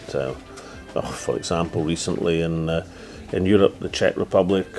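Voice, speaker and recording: Over music in the background, a man with a Scottish accent speaks in a very deep, low voice. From Scotland. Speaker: politician, former first minister. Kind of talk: interview answer.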